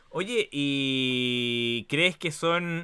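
A man speaks at a fairly high pitch with ordinary pitch variation. The background is quiet. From Chile. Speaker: talk show host. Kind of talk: casual interview. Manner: animated. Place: home room.

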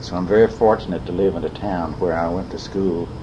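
There is noticeable background noise as a man speaks in a Southern US accent. His pitch is very deep and low, the intonation fairly even. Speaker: retired trumpet player and businessman recording his memoirs. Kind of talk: spoken memoir monologue. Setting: home cassette recorder.

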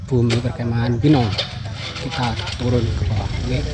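The man's voice sounds dry with no echo, while noticeable background noise runs underneath. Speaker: mountain biker vlogger. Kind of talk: casual vlog chat. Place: forest. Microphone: phone near.

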